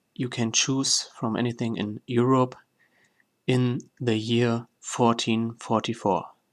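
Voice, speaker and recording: Against a quiet background, a man with a non-native accent talks at a very slow pace. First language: not English. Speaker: gaming YouTuber. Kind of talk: tutorial. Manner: halting, many fillers.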